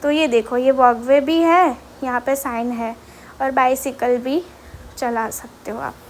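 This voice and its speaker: The speaker has a Gujarati accent. The intonation stays fairly even. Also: woman, high pitch for a woman. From Gujarat, India. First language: Gujarati (speaking Hindi). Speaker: vlogger. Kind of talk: walking vlog tour. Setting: outdoors on street. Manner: casual, hesitant with fillers.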